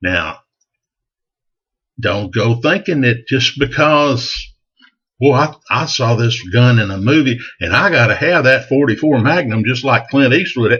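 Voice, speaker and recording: Fairly slow speech in a Texan accent, with long, frequent pauses, lively intonation and very even loudness. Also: man, medium pitch for a man. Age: 60s. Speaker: gun enthusiast vlogger. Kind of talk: casual advice monologue. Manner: folksy, conversational.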